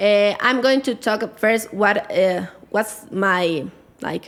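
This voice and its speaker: A woman with a Spanish accent, medium in pitch with ordinary pitch variation, at a very slow pace. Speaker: life coach. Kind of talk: podcast interview. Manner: halting.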